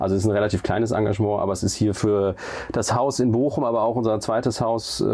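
A man with a fairly low voice speaks at a fairly quick pace. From Germany, Siegen area. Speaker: hotel group executive. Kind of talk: interview. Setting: in a hotel room. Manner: hesitant, many fillers.

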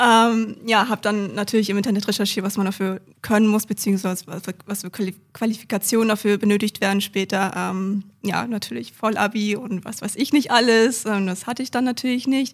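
Speaking fairly quickly in an ordinary speaking voice, a woman at medium pitch keeps her intonation fairly even in a very clean recording with a silent background. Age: 20s. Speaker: IT professional and apprentice trainer. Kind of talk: interview.

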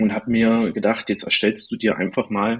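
Here is a man with an unremarkable speaking voice. His pitch is medium and his pace is moderate. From Thuringia, Erfurt. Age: 20s. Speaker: football meme page creator. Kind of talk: casual chat.

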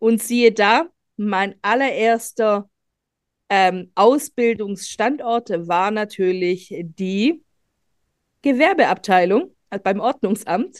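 Pausing long and often, a woman with a fairly high pitch speaks at a very slow pace. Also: ordinary pitch variation. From Germany, grew up from age four, Greek-born. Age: 40s. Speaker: business lawyer and data protection officer. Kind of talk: podcast interview.

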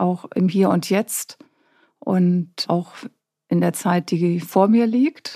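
A woman's dark, mellow tone at a very slow pace. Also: very clean recording, silent background. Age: 50s. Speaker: journalist. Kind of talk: casual interview.

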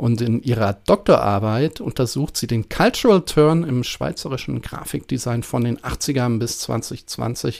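A plain, everyday voice talks at a fairly slow pace with lively intonation and hardly any pauses. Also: man, medium pitch for a man. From northern Germany (Prussia). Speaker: podcast host, design researcher. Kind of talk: casual academic conversation.

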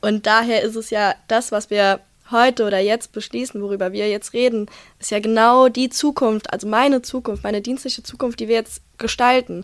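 A woman speaks in an unremarkable speaking voice at a fairly high pitch. Her pace is moderate and her intonation fairly even. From Rhineland-Palatinate, Germany. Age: 20s. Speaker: police student and union youth official. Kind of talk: casual chat.

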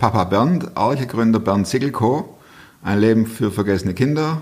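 With a slight Swabian accent, a man at a medium pitch talks at a moderate pace with lively intonation. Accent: light Swabian. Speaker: podcast host. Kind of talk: interview conversation.

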